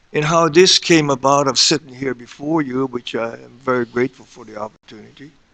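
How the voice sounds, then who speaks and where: Speaking at a fairly quick pace with hardly any pauses, a man uses a bright, sharp tone with big swings in loudness, in a dry, close sound with no echo. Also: medium pitch for a man, ordinary pitch variation. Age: 70s. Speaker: county mayor. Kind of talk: public testimony at a board meeting.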